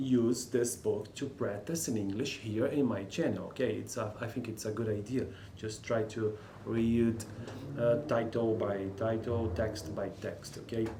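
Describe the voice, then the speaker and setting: Through noticeable background noise and audible room echo, a man with a Brazilian Portuguese accent speaks at a fairly slow pace, his medium pitch held in fairly even intonation. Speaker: linguistics student and English learner. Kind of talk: reading aloud with commentary. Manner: halting.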